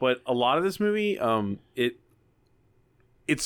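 A man with an ordinary speaking voice talks at a moderate pace and medium pitch in a very clean recording with a silent background. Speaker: screenwriting podcast co-host. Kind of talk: casual chat. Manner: laughs often.

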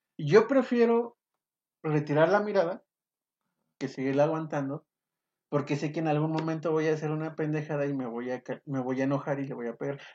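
The speech moves at a fairly quick pace but breaks often into long pauses. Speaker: podcast co-host. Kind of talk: casual chat.

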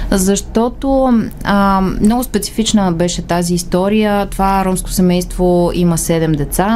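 Noticeable background noise sits under a woman whose delivery is fairly slow. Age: young. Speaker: human rights organisation communications director. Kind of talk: radio interview.

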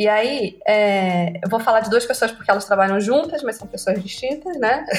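A woman with a Rondônia accent, fairly high in pitch with ordinary variation, fairly slow with hardly any pauses, loudness swinging widely over noticeable background noise. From Brazil, Rondônia (Porto Velho). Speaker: copywriter and creative director. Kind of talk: interview.

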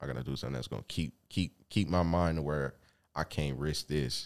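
A man's very deep, low voice with ordinary pitch variation at a moderate pace. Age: 20s. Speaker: rapper. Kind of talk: casual chat.

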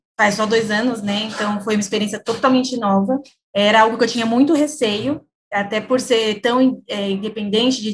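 Somewhat breathy and fairly high-pitched, the woman's voice keeps a fairly even intonation. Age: 20s. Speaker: company employee in public sales team. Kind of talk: interview.

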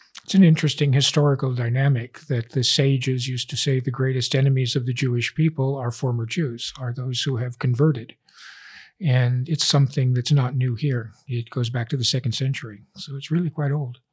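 Over a very clean recording with a silent background, a man speaks fairly quickly at medium pitch, somewhat breathy, with fairly even intonation. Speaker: professor. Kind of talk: interview.

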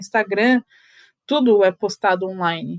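A woman talks at a fairly slow pace and a medium pitch with ordinary pitch variation, the sound dry and close with no echo. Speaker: photographer and podcast host. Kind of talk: solo podcast monologue. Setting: home, seated on bed by the window.

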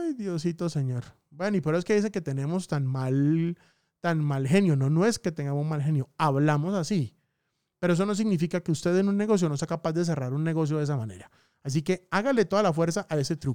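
A man's dark, mellow tone comes through a very clean recording with a silent background and a dry, close sound with no echo. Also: fairly high pitch for a man, ordinary pitch variation, fairly quick pace. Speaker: podcast host, digital marketing. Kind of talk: casual monologue. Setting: studio. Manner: varies speed and pitch for emphasis.

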